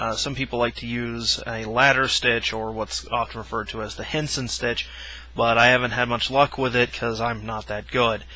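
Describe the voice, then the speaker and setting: At a moderate pace, a man speaks in a dry sound with no echo. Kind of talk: tutorial. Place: home room. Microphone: headset.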